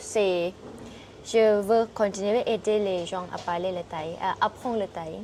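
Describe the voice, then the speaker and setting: A woman speaks with a Thai accent. Her pace is very slow. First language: Thai (speaking French). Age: 20s. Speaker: Thai language teacher and author. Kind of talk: interview. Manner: halting.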